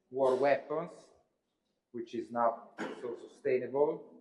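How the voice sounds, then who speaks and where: A man speaks at a very slow pace in a medium pitch. Audible room echo surrounds his voice. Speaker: university lecturer. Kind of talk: lecture. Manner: hesitant, many filler sounds.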